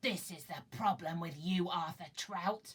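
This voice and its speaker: A put-on character voice at a middle pitch growls and hisses. The pace is fairly slow. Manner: hissing, menacing.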